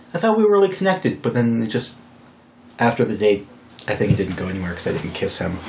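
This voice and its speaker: Fairly low male speech, normal pitch movement, and clearly audible background noise. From Wyoming. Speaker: podcast host. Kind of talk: casual chat.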